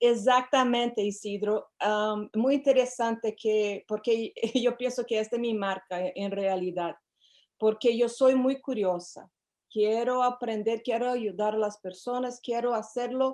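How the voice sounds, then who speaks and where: A woman with a Portuguese accent speaks at a fairly slow pace and fairly high pitch with fairly even intonation. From Brazil. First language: Portuguese (speaking Spanish). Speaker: psychotherapist. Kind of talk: interview. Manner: hesitant, with fillers.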